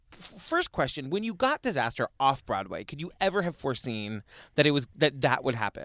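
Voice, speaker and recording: A man talks at a moderate pace. His fairly high pitch moves in very wide swings. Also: dry, close sound with no echo. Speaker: podcast host. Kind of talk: interview conversation.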